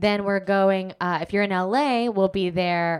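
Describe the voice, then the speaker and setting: In a General American accent, a woman with an ordinary speaking voice talks at a medium pitch in a very clean recording with a silent background. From Alaska (Anchorage). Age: 30s. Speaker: comedian and actor. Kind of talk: casual interview chat.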